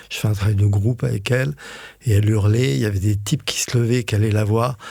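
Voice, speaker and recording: A man's somewhat breathy, dark, mellow voice at a very fast pace, with very even loudness and ordinary pitch variation. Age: 60s. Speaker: osteopath. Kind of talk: casual chat. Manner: hesitant, many fillers.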